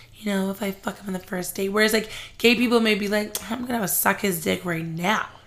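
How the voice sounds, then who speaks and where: Against noticeable background noise, a woman speaks at a fairly quick pace and a medium pitch with fairly even intonation. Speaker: podcast co-host. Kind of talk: casual chat.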